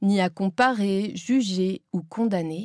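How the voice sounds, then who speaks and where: Recorded dry and close with no echo against a very clean, silent background, a woman speaks at a medium pitch in an unremarkable speaking voice. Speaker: author and Zen Buddhist nun, former voice teacher. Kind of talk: audiobook reading of her own book. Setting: professional recording studio.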